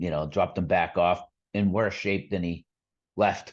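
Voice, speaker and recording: A man speaks with a Boston accent. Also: quiet background. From Boston area, Massachusetts. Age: 40s. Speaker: amputee sharing his story. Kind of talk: podcast interview, personal story.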